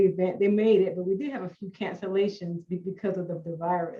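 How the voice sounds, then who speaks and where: A woman's somewhat breathy voice at a very fast pace. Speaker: instructional designer. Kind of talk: panel discussion. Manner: halting with blocks and repetitions.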